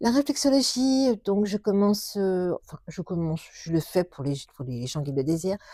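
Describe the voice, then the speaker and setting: The recording is very clean, with a silent background and a dry, close sound with no echo. A woman at a medium pitch speaks in a dark, mellow tone at a fairly slow pace. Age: 60s. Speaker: shiatsu practitioner. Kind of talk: interview. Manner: halting.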